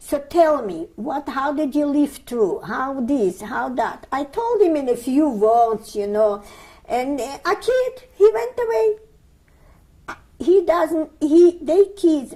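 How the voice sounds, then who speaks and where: The voice has a dark, mellow tone and very wide pitch swings. It moves at a very slow pace. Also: woman. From Lithuania, Vilnius. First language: Yiddish. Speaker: Holocaust survivor. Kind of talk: oral history interview. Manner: halting.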